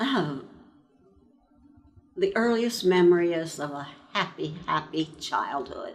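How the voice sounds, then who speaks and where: A woman's fairly low-pitched voice with an American accent, very slow pace, lively intonation, and long, frequent pauses. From eastern Pennsylvania. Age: 90s. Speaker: World War II veteran. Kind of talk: oral history interview.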